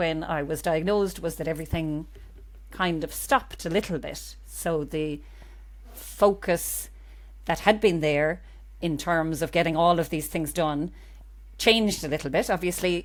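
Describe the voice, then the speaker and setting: In a Cork accent, a woman speaks at a fairly slow pace. The recording is very clean, with a silent background. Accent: Cork Irish. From Ireland, Cork. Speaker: GP and cancer patient. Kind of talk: interview.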